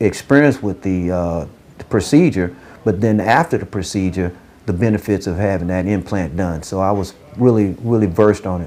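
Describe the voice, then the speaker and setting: A man talking at a moderate pace. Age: 60s. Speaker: dental patient. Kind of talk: testimony. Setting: event, appreciation dinner. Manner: halting, many restarts.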